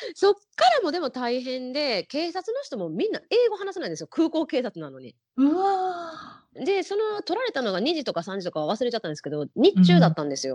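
At a fairly quick pace with hardly any pauses, a woman speaks in a high pitch with very wide pitch swings and big swings in loudness, in a dry, close sound with no echo. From Japan, Osaka. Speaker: hula hoop performer. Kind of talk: interview.

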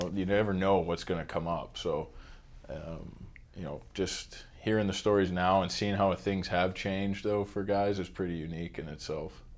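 With an American accent, a man of very deep, low pitch speaks at a moderate pace with fairly even intonation. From Pittsburgh, US. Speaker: hockey equipment manager. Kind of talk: casual interview.

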